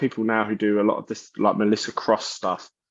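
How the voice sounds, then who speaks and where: The speaker has a South London accent. The pace is fairly quick. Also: man. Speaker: metal vocalist and bassist. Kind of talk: interview. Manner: animated.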